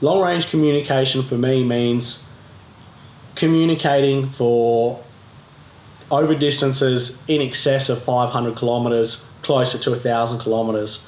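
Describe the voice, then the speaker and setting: A man at a medium pitch with an Australian accent, moderate pace, noticeable background noise and audible room echo. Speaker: off-road adventure vlogger. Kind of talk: tutorial. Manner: casual, conversational with fillers.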